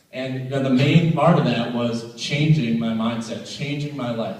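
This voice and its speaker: With an American accent, a man speaks at a moderate pace with ordinary pitch variation, amid audible room echo and noticeable background noise. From New England, US (Rhode Island, then central Massachusetts). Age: 20s. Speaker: motivational speaker. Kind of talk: motivational talk. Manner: animated.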